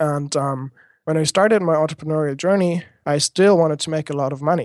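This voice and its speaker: The speaker has a German accent and talks at a moderate pace with ordinary pitch variation. The background is quiet. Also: man. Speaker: education blogger and speaker. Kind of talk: interview. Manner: halting.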